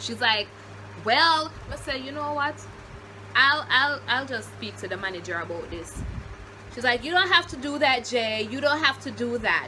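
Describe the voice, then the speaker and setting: A woman with a Jamaican accent speaks in an animated tone with big swings in loudness and long, frequent pauses over noticeable background noise. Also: moderate pace. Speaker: YouTuber. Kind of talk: storytime.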